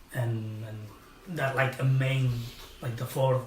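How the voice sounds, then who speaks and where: Fairly even intonation with a Spanish accent, over noticeable background noise. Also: man. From Spain, Catalonia. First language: Catalan or Spanish. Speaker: musician. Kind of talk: casual interview. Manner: halting.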